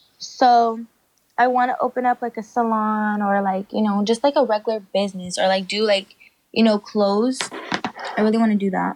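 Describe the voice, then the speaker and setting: An ordinary speaking voice comes at a moderate pace, with a dry, close sound and no echo. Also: woman, fairly high pitch for a woman, fairly even intonation. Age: 20s. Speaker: social media personality. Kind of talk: casual chat.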